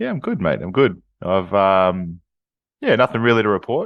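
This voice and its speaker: Lively intonation marks a man's fairly quick speech in an Australian accent. The background is quiet. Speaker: podcast co-host. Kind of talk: casual chat. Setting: video call. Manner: hesitant, many fillers. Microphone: new microphone.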